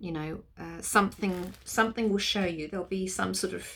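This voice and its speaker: The woman's British accent comes through as she talks at a moderate speed. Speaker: energy healer. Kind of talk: guided clearing session. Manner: halting.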